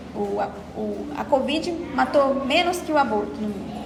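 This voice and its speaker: Noticeable background noise and audible room echo. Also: woman. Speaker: study group lecturer. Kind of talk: lecture. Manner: fast; halting.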